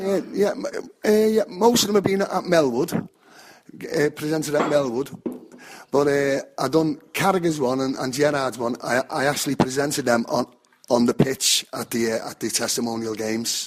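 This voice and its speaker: A man with a Liverpool accent, a fairly high pitch and lively intonation. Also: moderate pace. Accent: Scouse (Liverpool). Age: 60s. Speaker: football fan. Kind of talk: interview.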